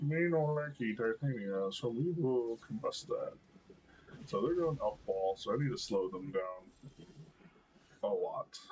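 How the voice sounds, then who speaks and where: This man talks at a fairly slow pace with long, frequent pauses. His fairly high voice carries lively intonation. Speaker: gaming streamer. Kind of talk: gameplay commentary. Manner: hesitant, many fillers.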